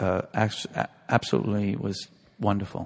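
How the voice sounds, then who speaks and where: This man talks at a moderate pace with an American accent and a fairly low pitch. The recording is very clean, with a silent background. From US Northeast (New York City). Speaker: ballet master. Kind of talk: interview. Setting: stage with audience.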